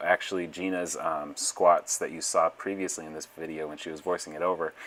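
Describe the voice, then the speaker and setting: A man's very deep, low-pitched voice, very fast in pace, with monotone, flat intonation. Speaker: strength coach. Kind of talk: voiceover commentary.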